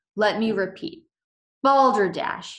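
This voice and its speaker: A woman puts on a booming character voice. Her pitch is fairly high. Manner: pompous, loud, insistent.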